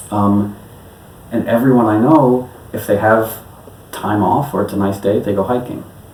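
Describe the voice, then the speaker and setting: With an American accent and a fairly low pitch, a man speaks at a moderate pace with ordinary pitch variation and long, frequent pauses over noticeable background noise. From New York City. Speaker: electronic musician. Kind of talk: interview answer.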